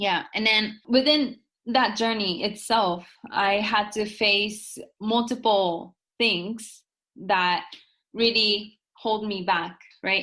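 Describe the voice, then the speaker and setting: In a Japanese accent, a woman speaks very slowly with fairly high pitch and a bright, sharp tone. Her intonation is fairly even, and the recording is very clean with a silent background. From Japan, Tokyo. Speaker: author and entrepreneur. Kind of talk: interview conversation.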